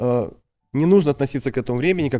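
The recording is very clean, with a silent background. The voice has a dark, mellow tone. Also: man. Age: 20s. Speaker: school teacher and deputy principal. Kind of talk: interview conversation. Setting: studio. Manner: halting.

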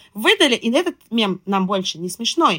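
With very wide pitch swings, a woman speaks at a moderate pace in a dry, close sound with no echo. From Russian Far East and Moscow region. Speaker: marketing and PR specialist. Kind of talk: casual chat.

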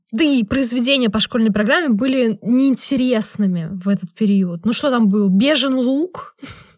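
A woman's plain, everyday voice, fairly high-pitched with lively intonation, very even loudness and hardly any pauses, at a moderate pace. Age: 20s. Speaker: podcast co-host. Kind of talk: casual chat.

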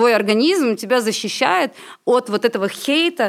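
Heard on a very clean recording with a silent background, a woman with an ordinary speaking voice uses lively intonation at a fairly high pitch. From Latvia. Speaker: film director and singer. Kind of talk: casual chat.

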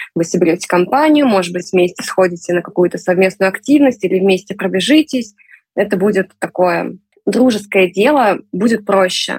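A woman speaks at medium pitch with ordinary pitch variation. Her voice is somewhat breathy. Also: moderate pace. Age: 30s. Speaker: amateur sports enthusiast. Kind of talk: interview. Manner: animated.

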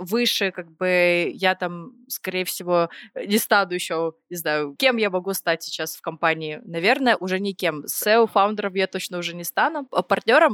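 In an ordinary speaking voice, a woman talks at a medium pitch and moderate pace with ordinary pitch variation, in a dry, close sound with no echo on a very clean recording with a silent background. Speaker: podcast co-host, creative director. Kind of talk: casual chat.

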